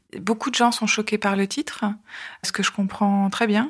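The somewhat breathy voice has ordinary pitch variation and a moderate pace, in a very clean recording with a silent background. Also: woman. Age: 40s. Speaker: journalist sharing cancer testimony. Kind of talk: testimony. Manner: hesitant, many filler sounds.

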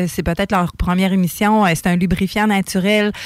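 A woman speaks at a moderate pace in a plain, everyday voice at a medium pitch. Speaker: radio co-host. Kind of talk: casual chat.

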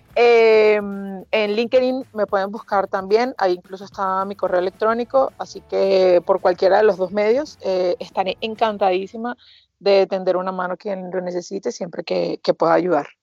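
Over music in the background, a woman speaks at a medium pitch with fairly even intonation and hardly any pauses, the sound dry and close with no echo. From Venezuela, Margarita Island. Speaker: hospitality and wine promoter, former lawyer. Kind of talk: casual interview. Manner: fast.

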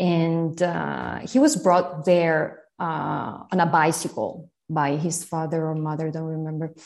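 Speaking at a fairly slow pace with hardly any pauses, a woman with an Italian accent uses a very deep, low pitch and fairly even intonation against a quiet background. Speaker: literary translator and teacher. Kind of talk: interview about literature.

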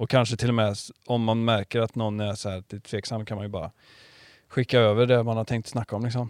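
A man talks very fast at a medium pitch, his intonation flat and monotone. The recording is very clean and dry, with a silent background and no echo. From Karlstad, Värmland. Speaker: podcast host and surf shop owner. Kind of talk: casual interview. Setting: small podcast studio in his shop.

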